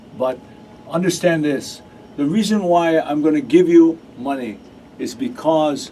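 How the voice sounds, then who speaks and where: Noticeable background noise surrounds a man with a fairly high pitch. He talks at a fairly slow pace with lively intonation. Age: 60s. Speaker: radio host. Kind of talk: casual chat. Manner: halting.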